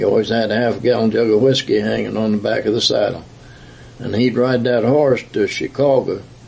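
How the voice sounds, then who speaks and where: A man keeps up a fairly quick pace amid noticeable background noise. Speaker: retired union leader. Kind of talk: oral history interview. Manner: halting.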